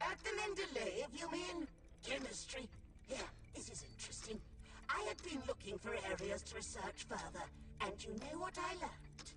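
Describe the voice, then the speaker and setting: This put-on character voice has a high pitch and a moderate pace, broken by long, frequent pauses. Loud background noise runs throughout. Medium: video game. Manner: musing, professorial.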